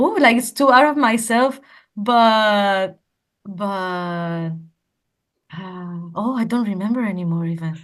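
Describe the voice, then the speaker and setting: A woman speaks at a very slow pace with a Spanish accent and long, frequent pauses. Her medium pitch shows ordinary variation. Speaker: language teacher. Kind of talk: interview. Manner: halting, many repetitions.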